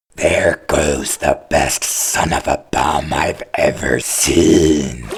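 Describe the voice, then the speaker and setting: A man growls in a put-on character voice at a very slow pace. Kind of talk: comic overacting. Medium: fan dub.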